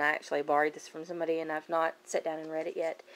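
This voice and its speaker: A fairly low-pitched woman's voice with a Kentucky accent. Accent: Kentucky accent, noticeable. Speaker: book vlogger. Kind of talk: casual chat. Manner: casual, hesitant with many fillers.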